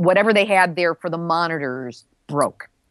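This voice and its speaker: A woman with a plain, everyday voice, fairly low in pitch with ordinary pitch variation, in a dry, close sound with no echo against a quiet background. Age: 60s. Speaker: nuclear news podcast host and author. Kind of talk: interview.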